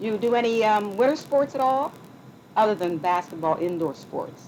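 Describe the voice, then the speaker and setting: A woman speaks at a moderate pace in a medium-pitched, unremarkable speaking voice. Her intonation is lively. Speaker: oral history interviewer. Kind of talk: interview questions.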